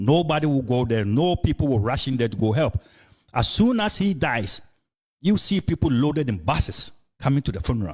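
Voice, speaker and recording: Somewhat breathy and medium-pitched, a man talks at a fairly quick pace with very wide pitch swings. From Ghana. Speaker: podcast host. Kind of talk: casual discussion. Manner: halting, many fillers and repetitions.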